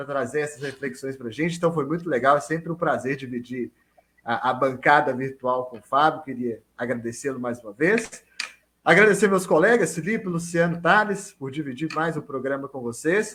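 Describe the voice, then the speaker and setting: With a Minas Gerais accent, a man of fairly high pitch and bright, sharp tone speaks at a moderate pace with lively intonation and big swings in loudness. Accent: clear Minas Gerais. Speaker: sports podcast co-host. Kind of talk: podcast panel chat. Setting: video call.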